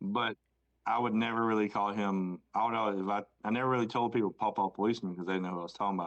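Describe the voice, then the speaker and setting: Fairly even in intonation and fairly low in pitch, a man speaks. His pace is very fast. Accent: Southern US. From US South, Rock Hill, South Carolina. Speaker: podcast co-host. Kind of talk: casual chat.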